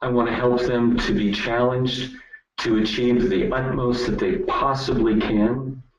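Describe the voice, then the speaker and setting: A man's plain, everyday voice at medium pitch, at a fairly slow pace. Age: 60s. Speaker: network marketing business leader. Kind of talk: webinar presentation.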